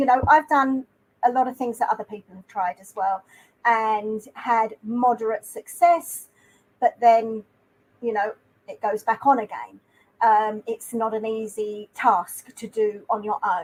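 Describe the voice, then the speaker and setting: At a fairly slow pace, a woman with a British accent and a fairly high pitch shows ordinary pitch variation and big swings in loudness in a dry, close sound with no echo. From UK. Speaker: YouTuber. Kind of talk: interview.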